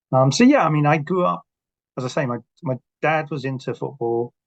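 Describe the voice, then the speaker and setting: Speaking at a fairly quick pace, a man is heard. The sound is dry and close, with no echo. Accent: English. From South London, England. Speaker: author. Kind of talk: podcast interview.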